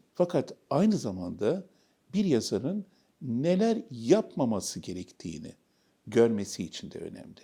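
A man speaks at a fairly slow pace with vocal fry, very wide pitch swings and a dark, mellow tone, in a very clean recording with a silent background. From Istanbul, Turkey. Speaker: novelist and academic. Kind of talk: interview.

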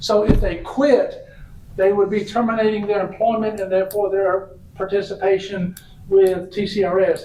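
With a Tennessee accent, a man talks at a moderate pace in a high, monotone, flat voice, with noticeable background noise and audible room echo. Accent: Southern US (Tennessee). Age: 60s. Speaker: retirement system representative, former state legislator. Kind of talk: public meeting presentation. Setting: city council meeting. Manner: conversational.

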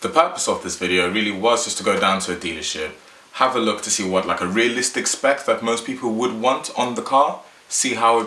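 A man speaks at a moderate pace with ordinary pitch variation, and room echo can be heard. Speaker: car vlogger. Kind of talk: casual vlog chat. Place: home room.

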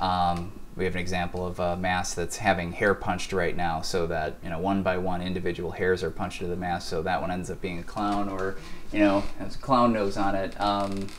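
Speaking at a moderate pace, a man keeps a low pitch with little pitch movement.

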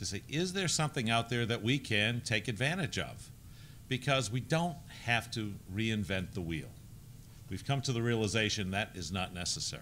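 A man's voice with a bright, sharp tone and very wide pitch swings. Light background noise sits behind him. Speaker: men's ministry workshop organizer. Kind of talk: presentation to a group. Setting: conference room with audience. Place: hall. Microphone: podium.

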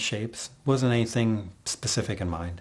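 The man talks at a moderate speed. His voice is fairly low. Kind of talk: interview answer. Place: home room.

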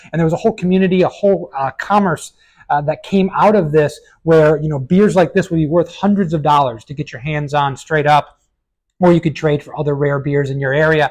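A man speaks at a fairly quick pace with ordinary pitch variation over a quiet background. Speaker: beer reviewer. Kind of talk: casual review commentary. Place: shop. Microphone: lapel.

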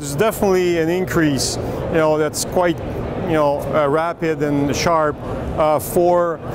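Over noticeable background noise, a man speaks fairly slowly with fairly even intonation in a dry sound with no echo. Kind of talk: interview answer. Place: hall. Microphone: lapel.

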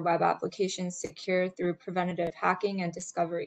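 The speaker is a woman. She talks at a fairly quick pace. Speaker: webinar presenter. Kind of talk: webinar presentation. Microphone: video call.

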